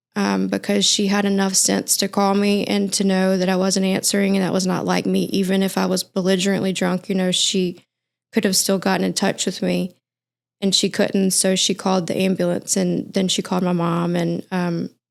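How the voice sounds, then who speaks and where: A very clean recording with a silent background carries speech at a moderate pace and very even loudness. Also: woman. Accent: Mississippi. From US South, Mississippi. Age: 30s. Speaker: recovering addict sharing testimony. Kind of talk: testimony in podcast interview.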